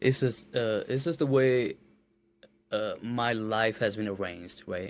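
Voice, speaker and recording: Slowly and deliberately, a man speaks at medium pitch. He has a Nepali accent. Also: ordinary pitch variation. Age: 20s. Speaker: musician. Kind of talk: podcast interview. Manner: halting, repeats words.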